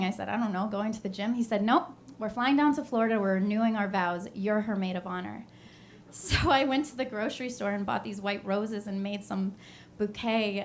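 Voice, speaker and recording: A woman with an ordinary speaking voice talks at a fairly quick pace, at medium pitch with ordinary pitch variation. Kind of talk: live storytelling performance.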